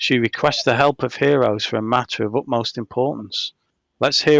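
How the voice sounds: Quiet background behind a natural reading voice. Pitch varies in an ordinary way.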